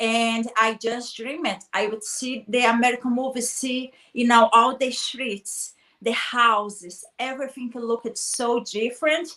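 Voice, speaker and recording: A woman with a Brazilian accent speaks at a fairly slow pace. Her fairly high voice sounds bright and sharp, with fairly even intonation. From Brazil, small town. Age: 30s. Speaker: guest speaker on personal development. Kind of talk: interview chat.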